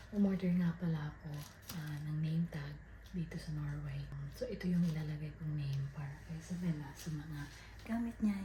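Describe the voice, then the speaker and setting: Talking at a moderate speed, a soft-spoken person is heard against noticeable background noise. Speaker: family vlogger. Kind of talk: casual vlog narration. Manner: soft-spoken, quiet because child asleep.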